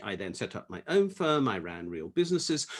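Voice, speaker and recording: Moving at a moderate pace, a man with an English accent talks at a fairly high pitch. His voice makes very wide pitch swings. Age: 60s. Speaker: economist and tax campaigner. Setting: video call.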